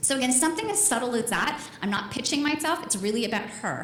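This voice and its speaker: A woman speaks in an animated tone with lively intonation at a very fast pace. Audible room echo and noticeable background noise are present. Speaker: marketing speaker. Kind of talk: conference talk. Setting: stage with audience.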